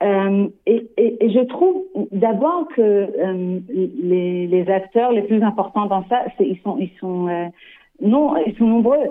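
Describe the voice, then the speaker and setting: A woman talks at a very slow pace, leaving long, frequent pauses. Her pitch is fairly high and her intonation is lively. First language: not French (speaking French). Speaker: developmental psychologist. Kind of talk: radio interview. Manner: halting, many hesitations and repeats.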